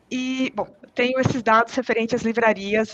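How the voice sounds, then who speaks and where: A woman speaks at a moderate pace with a slight non-native accent. Background noise is noticeable. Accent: slight foreign tinge from living abroad. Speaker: cloud data engineer. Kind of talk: technical live Q&A with screen demo. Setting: online live stream. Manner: halting, many fillers and restarts.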